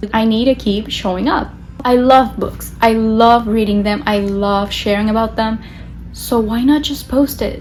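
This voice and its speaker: Speaking at a fairly slow pace with a Spanish accent and fairly even intonation, the voice carries audible room echo over music in the background. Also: woman, fairly high pitch for a woman. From Latin America. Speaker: book vlogger. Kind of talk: casual vlog talk to camera.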